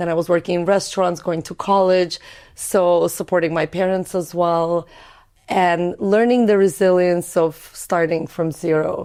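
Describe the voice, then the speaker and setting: On a very clean recording with a silent background, a woman speaks at a moderate pace in a fairly low pitch with a dark, mellow tone and monotone, flat intonation. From Azerbaijan (Baku), Russian-speaking. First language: Russian. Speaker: entrepreneur. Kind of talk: podcast interview.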